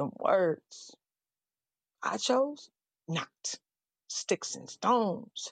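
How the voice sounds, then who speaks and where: Speaking at a very slow pace with long, frequent pauses, a woman uses vocal fry, very wide pitch swings and big swings in loudness, in a dry, close sound with no echo. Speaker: poet. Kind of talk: poetry performance.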